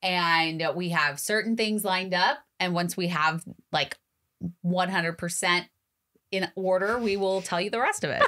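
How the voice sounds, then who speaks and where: A woman at a fairly slow pace with fairly even intonation and long, frequent pauses, over a quiet background. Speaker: podcast co-host. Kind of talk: casual chat. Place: studio. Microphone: studio mic.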